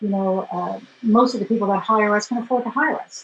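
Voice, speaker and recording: A woman's fairly quick speech comes out somewhat breathy. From New York City. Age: 60s. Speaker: photographer and former dancer. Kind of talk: interview. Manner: halting.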